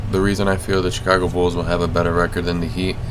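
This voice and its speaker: A man's very deep, low voice, monotone and flat, over noticeable background noise. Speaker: sports video creator. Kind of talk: casual commentary over gameplay. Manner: monotonous.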